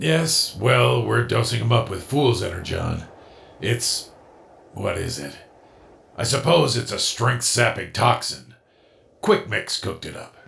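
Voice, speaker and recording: A put-on character voice from a raspy man at medium pitch, fairly slow, with long, frequent pauses. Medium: fan dub. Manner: dry, sardonic.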